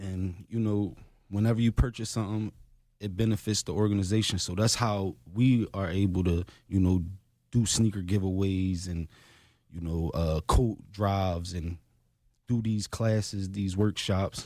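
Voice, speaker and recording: On a very clean recording with a silent background, a man with a dark, mellow tone and fairly low pitch speaks at a moderate pace with fairly even intonation. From Philadelphia, Feltonville. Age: 30s. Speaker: anti-violence nonprofit founder. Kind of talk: interview.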